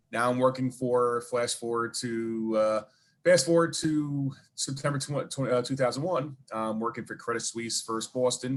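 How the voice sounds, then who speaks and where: With fairly even intonation, a man of medium pitch talks at a fairly slow pace. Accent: Brooklyn. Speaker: charity event organizer and 9/11 survivor. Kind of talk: interview storytelling.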